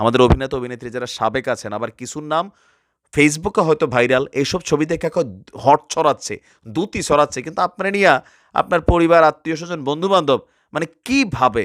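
In a very clean recording with a silent background and a dry, close sound with no echo, a man with a fairly high pitch speaks in an animated tone with ordinary pitch variation. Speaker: social media commentator. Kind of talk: opinion rant to camera.

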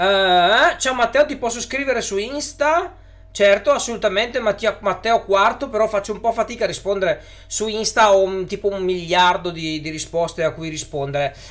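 A man's high voice, lively in intonation, at a moderate pace. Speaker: YouTuber on electric cars; live streamer. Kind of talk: live stream chat with viewers. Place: home room.

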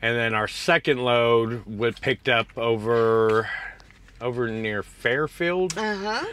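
In a dry sound with no echo, a man speaks very slowly with ordinary pitch variation. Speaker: truck driver vlogger. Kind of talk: casual vlog chat. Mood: cheerful, laughing. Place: car. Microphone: lapel.

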